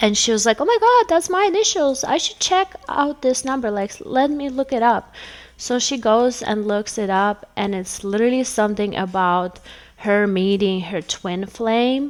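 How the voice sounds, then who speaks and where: Speaking at a moderate pace, a woman with a non-native accent uses an animated tone, lively intonation and a fairly high pitch. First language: not English. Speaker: tarot reader. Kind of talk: casual chat.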